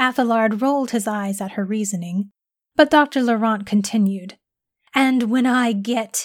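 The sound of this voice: Against a quiet background, ordinary pitch variation in an unforced reading voice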